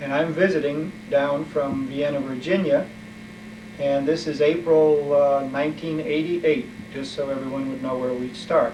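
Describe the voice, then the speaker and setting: A man talks at a fairly high pitch with audible room echo. Noticeable background noise can be heard. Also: ordinary pitch variation, moderate pace. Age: 60s. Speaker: family history interviewer. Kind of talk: family oral history interview. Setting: mother's apartment. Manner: halting, with fillers.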